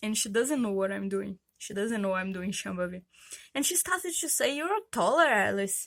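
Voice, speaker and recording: A medium-pitched woman with a Brazilian accent, lively intonation and a moderate pace, on a very clean recording with a silent background. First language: Portuguese. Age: 30s. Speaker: vlogger. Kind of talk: personal vlog testimony. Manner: hesitant, many fillers.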